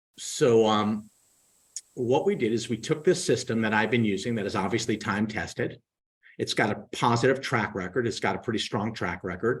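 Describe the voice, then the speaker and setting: In a very clean recording with a silent background, a man with a plain, everyday voice of medium pitch speaks at a moderate pace. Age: 60s. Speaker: real estate team recruiter and trainer. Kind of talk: live Q&A sales pitch. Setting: live video stream.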